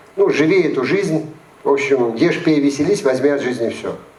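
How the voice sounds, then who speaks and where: A man with a fairly high pitch is recorded with audible room echo and noticeable background noise. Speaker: psychologist and lecturer. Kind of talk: lecture.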